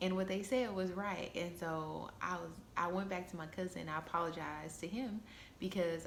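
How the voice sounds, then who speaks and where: Pitched fairly low, a woman speaks quietly at a moderate pace. There is audible room echo. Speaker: vlogger. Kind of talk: casual vlog monologue. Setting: indoors, quiet room. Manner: quiet, talking low.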